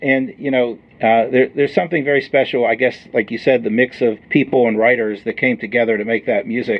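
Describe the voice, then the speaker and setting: A man's ordinary speaking voice at a fairly quick pace with hardly any pauses. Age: 50s. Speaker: podcast host. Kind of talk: interview.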